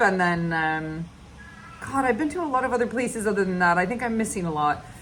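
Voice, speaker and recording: This woman speaks with an American accent at a medium pitch. Room echo is audible. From United States. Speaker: podcast host, animal sanctuary founder. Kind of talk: casual monologue. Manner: loud; halting, many fillers.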